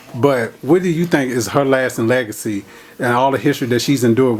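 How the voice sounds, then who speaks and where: Very fast, medium-pitched male speech with noticeable background noise behind it. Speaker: interviewer. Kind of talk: interview question.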